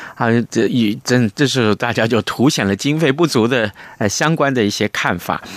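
The recording has a dry, close sound with no echo as a man of medium pitch speaks at a moderate pace with lively intonation. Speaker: radio host. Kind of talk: radio interview and news review. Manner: animated, expressive.

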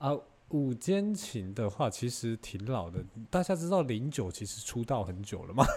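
This man talks at a moderate pace in a medium pitch, sounding somewhat breathy, with very wide pitch swings. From Taiwan. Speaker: podcaster. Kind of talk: casual chat. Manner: animated.

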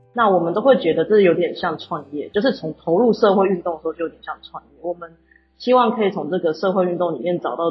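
A woman's somewhat breathy, medium-pitched voice races along at a very fast pace, with lively intonation and big swings in loudness. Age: 20s. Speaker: cultural heritage entrepreneur. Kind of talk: interview.

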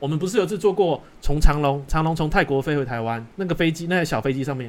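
A man at a very fast pace, with lively intonation. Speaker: podcast host. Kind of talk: casual chat.

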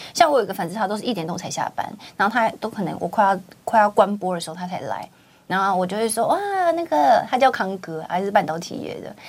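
Her intonation is lively. This woman talks very fast. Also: medium pitch for a woman, big swings in loudness. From Taiwan, Kaohsiung. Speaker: livestream host. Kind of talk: casual chat interview. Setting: studio. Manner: animated.

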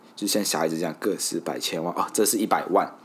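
A man with a Malaysian accent talks at a fairly quick pace. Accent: Malaysian Mandarin. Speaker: podcast host. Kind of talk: casual solo podcast monologue.

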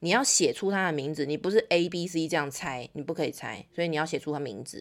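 Lively intonation marks the animated tone of this woman's speech. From Taiwan. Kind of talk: interview. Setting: remote call.

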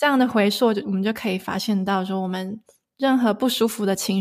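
A woman's medium-pitched voice, with fairly even intonation, comes through a very clean recording against a silent background. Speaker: sound healer. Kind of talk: interview. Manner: hesitant fillers.

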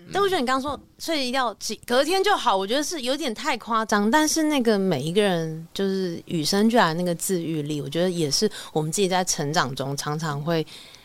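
A woman at medium pitch with a fairly quick pace and very wide pitch swings. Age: 30s. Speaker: band musician. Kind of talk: casual interview chat.

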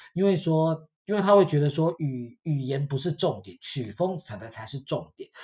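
A man speaks with lively intonation, a fairly high pitch and a somewhat breathy voice. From Taiwan. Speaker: podcast host. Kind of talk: casual chat.

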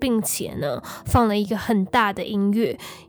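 A woman, fairly high in pitch, at a fairly slow pace. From Taiwan. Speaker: true crime podcast host. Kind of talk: storytelling narration.

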